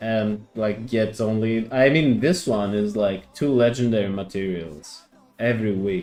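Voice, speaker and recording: A man speaks at a fairly slow pace in a fairly low voice with ordinary pitch variation while music plays in the background. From Greece. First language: Greek. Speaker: gaming streamer. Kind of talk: casual live stream chat. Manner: halting.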